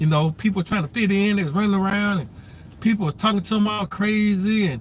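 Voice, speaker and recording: A man talks at a fairly quick pace in a high pitch with ordinary pitch variation. Noticeable background noise runs behind him. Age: 50s. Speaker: vlogger. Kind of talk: casual livestream monologue. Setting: waiting at son's appointment.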